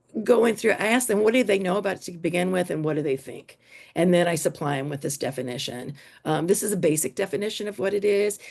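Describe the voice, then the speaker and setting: A fairly low-pitched woman at a very fast pace, with lively intonation. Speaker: teacher presenting at an education conference. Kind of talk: conference workshop presentation.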